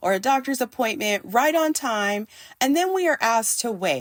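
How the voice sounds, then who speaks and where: This woman has a high pitch and lively intonation, speaking at a moderate pace in an American accent. The sound is dry and close, with no echo. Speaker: podcast host. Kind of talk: faith-based podcast monologue.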